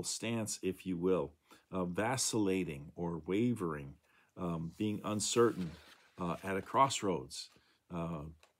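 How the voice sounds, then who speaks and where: At a fairly slow pace, a man with a plain, everyday voice speaks with ordinary pitch variation. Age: 60s. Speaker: pastor. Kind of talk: devotional talk. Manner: casual with many fillers.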